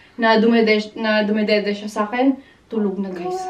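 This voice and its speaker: A woman at medium pitch and a fairly quick pace, over noticeable background noise. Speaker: vlogger, mother. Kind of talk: casual vlog talk. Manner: animated.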